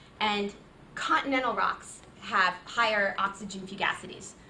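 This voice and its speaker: A woman talks at a fairly slow pace while audible room echo and noticeable background noise fill the recording. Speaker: visiting geoscientist giving a seminar. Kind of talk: academic seminar talk.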